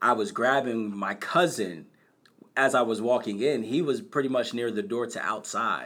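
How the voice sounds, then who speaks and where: A man with an American accent, medium pitch, bright, sharp tone, lively intonation and a moderate pace. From Bristol, Pennsylvania (Philadelphia suburbs). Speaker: nonprofit founder, college access. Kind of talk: personal testimony.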